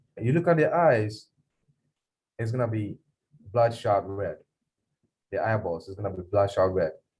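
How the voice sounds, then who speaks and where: A man's fairly low voice sounds somewhat breathy and shows ordinary pitch variation. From Ghana. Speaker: police officer. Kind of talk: Q&A talk to students. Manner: fast; animated.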